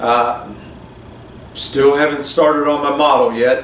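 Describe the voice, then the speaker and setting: A man's fairly high-pitched voice at a fairly slow pace, with audible room echo and noticeable background noise. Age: 60s. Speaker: scale model hobbyist. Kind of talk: casual vlog talk. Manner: rambling, many fillers and repeats.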